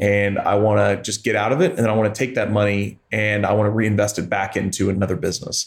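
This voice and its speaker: A man with a US Midwestern accent talks at a fairly quick pace. His pitch is fairly low. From Missouri, US Midwest (Joplin). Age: 30s. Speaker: private equity investor, company founder. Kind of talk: interview.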